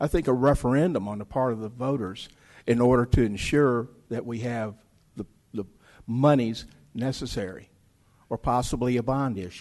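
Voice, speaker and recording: A man with a Tennessee accent talks at a medium pitch and a moderate pace, with ordinary pitch variation. His loudness swings widely, and he takes long, frequent pauses. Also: quiet background. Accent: Southern US (Tennessee). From Germantown, Tennessee. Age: 60s. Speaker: political candidate. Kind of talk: candidate debate.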